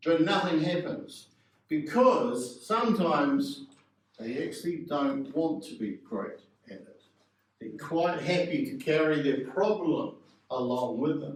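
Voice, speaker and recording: A man with a New Zealand accent talks at a fairly slow pace in a fairly high voice, with very wide pitch swings and big swings in loudness. Audible room echo is present. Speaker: public speaking coach. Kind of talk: workshop.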